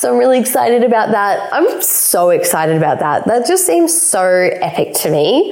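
A woman talks at a moderate pace with an Australian accent. Background noise is noticeable. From South Australia. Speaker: money and empowerment coach. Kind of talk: solo podcast monologue. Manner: casual, with frequent fillers.

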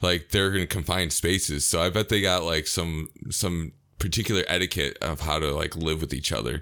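In a very deep, low voice with vocal fry and a bright, sharp tone, a man speaks fairly quickly with an American accent. His pitch varies in an ordinary way, his loudness stays very even, and the recording is very clean with a silent background. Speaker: podcast co-host. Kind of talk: casual chat.

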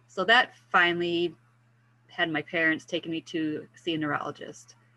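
Very deep and low in pitch, a woman's voice carries a bright, sharp tone. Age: 50s. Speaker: wellness mentor for women with multiple sclerosis. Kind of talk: interview.

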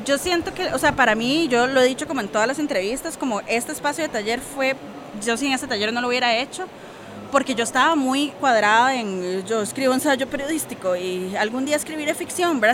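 A woman's high voice at a fairly quick pace, with noticeable background noise. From Costa Rica. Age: 30s. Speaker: poet and former journalist. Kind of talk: interview. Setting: book fair.

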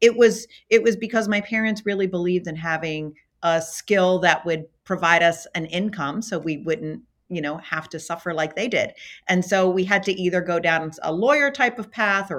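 A woman with an American accent talks at a moderate pace and medium pitch with ordinary pitch variation, a plain, everyday voice on a very clean recording with a silent background. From US, Baltimore, Maryland. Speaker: physician and healthcare executive. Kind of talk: interview. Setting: corporate office.

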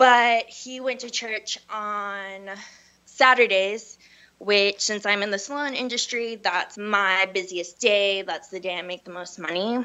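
A woman talks at a fairly slow pace with a medium pitch and ordinary pitch variation. Her loudness swings widely. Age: 20s. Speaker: hairstylist. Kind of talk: personal testimony. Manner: casual, upbeat.

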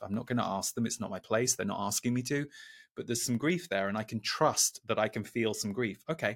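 Recorded with a dry, close sound and no echo, a man speaks fairly quickly at medium pitch with ordinary pitch variation in a plain, everyday voice. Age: 40s. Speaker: spiritual teacher and channeler. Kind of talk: channeled message; interview conversation. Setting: video call.

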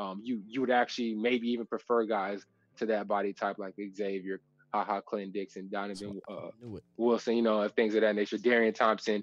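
A man with a plain, everyday voice speaks fairly quickly at a fairly low pitch with fairly even intonation. The sound is dry and close, with no echo. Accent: American. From Texas. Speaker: former NFL safety and podcast host. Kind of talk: casual chat.

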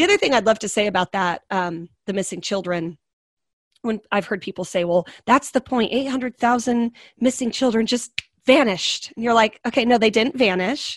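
A woman with an American accent uses a normal speaking voice, fairly high in pitch with ordinary pitch variation and a moderate pace, in a very clean recording with a silent background and dry, close sound with no echo. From US West, small-town Oregon. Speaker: trafficking survivor and advocate. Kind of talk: interview, personal testimony.

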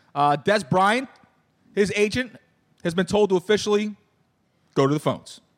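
Speaking at a fairly quick pace, a man with a Philadelphia accent has an animated tone and lively intonation. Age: 40s. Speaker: podcast host. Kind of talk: casual chat.

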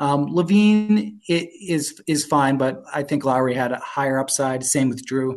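Here is a normal speaking voice at a fairly slow pace with ordinary pitch variation. There are hardly any pauses, and the background is quiet. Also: man, fairly high pitch for a man. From Canada (Toronto). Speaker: fantasy basketball analyst. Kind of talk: casual interview.

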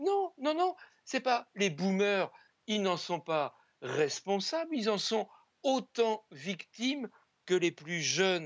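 Very slowly, a man talks at a high pitch with very wide pitch swings. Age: 70s. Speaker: sociologist. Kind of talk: televised debate.

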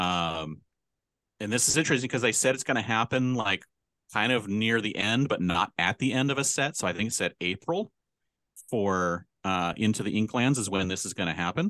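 A man with an ordinary speaking voice talks at a moderate pace in a fairly low pitch with lively intonation, the sound dry and close with no echo against a quiet background. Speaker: podcast co-host. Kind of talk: casual chat.

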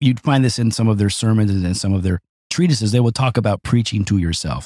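A man with a plain, everyday voice, fairly low in pitch, at a fairly quick pace, with a dry, close sound and no echo. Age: 50s. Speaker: pastor. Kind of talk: casual chat.

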